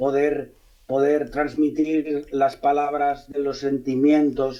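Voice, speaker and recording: A man's dark, mellow tone at a very slow pace, with monotone, flat intonation. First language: Catalan (speaking Spanish). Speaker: novelist, former police officer. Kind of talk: radio interview. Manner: halting, frequent repetitions.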